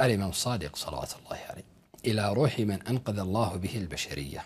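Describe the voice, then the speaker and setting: A man's fairly low voice with lively intonation at a moderate pace. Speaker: religious commentator. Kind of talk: polemical commentary. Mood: scornful, argumentative. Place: studio.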